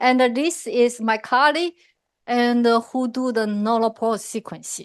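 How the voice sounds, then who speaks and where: A woman speaks loudly in a high voice at a fairly slow pace, her pitch varying in an ordinary way over a quiet background. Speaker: professor. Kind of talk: lecture.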